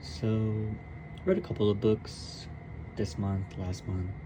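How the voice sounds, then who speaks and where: Soft-spoken, a man talks in a fairly low pitch with ordinary pitch variation. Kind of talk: casual book review talk to camera.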